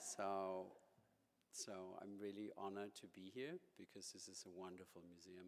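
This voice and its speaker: A man with a German accent speaks at a fairly low pitch. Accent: German accent (jokingly called New York). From Germany. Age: 50s. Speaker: museum director. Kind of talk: lecture.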